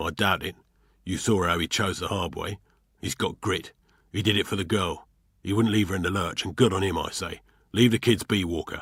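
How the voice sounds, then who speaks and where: Using a put-on character voice, a man talks at a fairly quick pace with a raspy, fairly low pitch, leaving long, frequent pauses. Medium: read story. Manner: gruff, colloquial.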